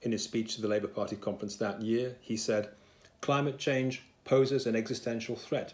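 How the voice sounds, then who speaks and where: Speaking at a fairly quick pace, a man with an English accent keeps a medium pitch and fairly even intonation. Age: 60s. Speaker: solicitor, political supporter. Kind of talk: political appeal to camera.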